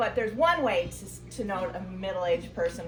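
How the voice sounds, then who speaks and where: A woman talks against noticeable background noise. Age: middle-aged. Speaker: amateur stand-up comedian. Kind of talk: stand-up comedy set at open mic night. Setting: live comedy venue with audience.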